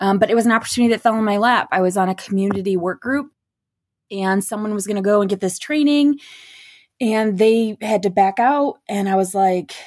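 The recording is very clean, with a silent background. A woman with a Michigan accent speaks at a fairly quick pace in a medium pitch, using ordinary pitch variation. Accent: Upper Midwest (Michigan) American. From Michigan (Beaverton). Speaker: non-profit director. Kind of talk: interview.

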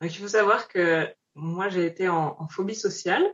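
A woman's normal speaking voice, fairly low in pitch, with fairly even intonation. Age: 20s. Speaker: founder of a human-animal connection project. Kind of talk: interview conversation.

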